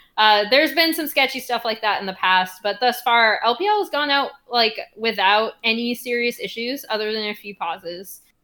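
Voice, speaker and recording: An ordinary speaking voice moves at a moderate pace with hardly any pauses and ordinary pitch variation, captured on a very clean recording with a silent background. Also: woman, fairly high pitch for a woman. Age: 30s. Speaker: esports journalist. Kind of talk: casual interview chat.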